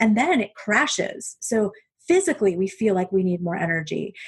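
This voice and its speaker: A woman speaks in a medium pitch with ordinary pitch variation and a somewhat breathy quality. The background is quiet. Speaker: eating psychology coach. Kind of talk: interview. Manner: fast; animated.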